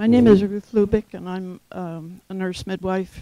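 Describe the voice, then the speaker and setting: Her voice has a dark, mellow tone and a fairly low pitch, moving at a moderate pace with fairly even intonation. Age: 80s+. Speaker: nurse midwife. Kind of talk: audience question.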